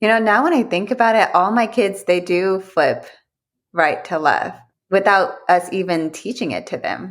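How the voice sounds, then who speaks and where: Recorded very cleanly against a silent background, a woman with a medium pitch talks at a moderate pace with ordinary pitch variation. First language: Vietnamese. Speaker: podcast co-host. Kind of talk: casual chat.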